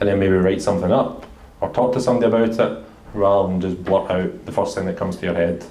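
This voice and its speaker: A man talks at a very fast pace. His fairly low pitch carries audible room echo. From Scotland, Glasgow. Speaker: senior engineering director, panelist. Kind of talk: panel discussion.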